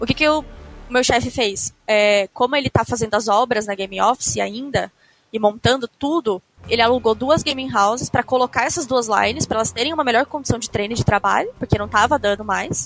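A woman speaks in an ordinary speaking voice at a fairly high pitch with ordinary pitch variation. Her pace is fairly quick, and the sound is dry and close with no echo. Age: 20s. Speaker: professional esports player. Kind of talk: casual chat.

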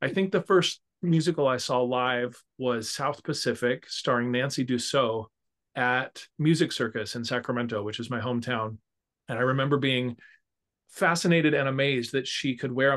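Against a quiet background, a man uses an ordinary speaking voice with an American accent. His medium pitch varies in an ordinary way, at a moderate pace. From California. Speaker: musical arranger and orchestrator. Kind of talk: casual interview chat.

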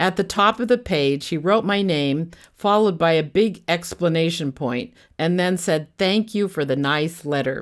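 On a very clean recording with a silent background, a woman in a plain, everyday voice talks at a moderate pace, fairly low in pitch and with lively intonation. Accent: American. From California. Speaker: podcaster telling her life story. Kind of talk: scripted narration.

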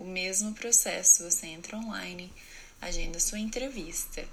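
A woman at medium pitch speaks at a fairly slow pace, with audible room echo. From Brazil, interior of São Paulo state. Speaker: au pair and student. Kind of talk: personal story monologue.

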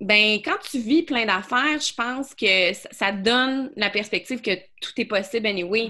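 A woman's fairly high, bright, sharp voice at a fairly slow pace, on a very clean recording with a silent background. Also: ordinary pitch variation. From Quebec City (Beauport). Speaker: business coach. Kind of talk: casual interview chat.

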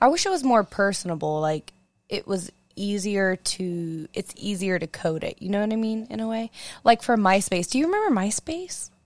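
A woman with a plain, everyday voice speaks at a medium pitch with lively intonation. The recording is very clean and silent behind her, with a dry, close sound and no echo. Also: moderate pace. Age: 20s. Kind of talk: casual chat.

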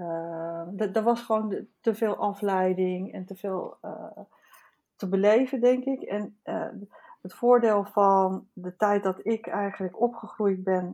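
With a dark, mellow tone, a woman speaks at a very slow pace. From Netherlands, Haarlem. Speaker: artist and teacher. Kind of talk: casual chat. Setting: remote recording from home.

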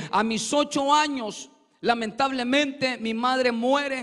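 Fairly even in intonation, the delivery unfolds fairly slowly. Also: man. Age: 40s. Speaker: preacher giving testimony. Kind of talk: testimony; sermon. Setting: church.

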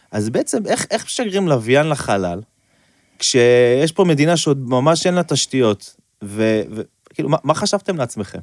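A man speaks fairly slowly at a fairly high pitch with very wide pitch swings. The sound is dry and close, with no echo. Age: 30s. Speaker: podcast host. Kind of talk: interview.

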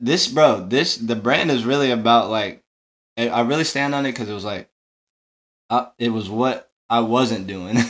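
Moderate pace and ordinary pitch variation in a man's medium-pitched, a normal speaking voice. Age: 20s. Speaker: entrepreneur, tour crew. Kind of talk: casual chat.

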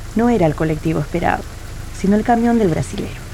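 A woman talks with ordinary pitch variation over noticeable background noise. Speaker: audio drama narrator. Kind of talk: dramatic narration of a short story, reading literary prose. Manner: measured, atmospheric, somber.

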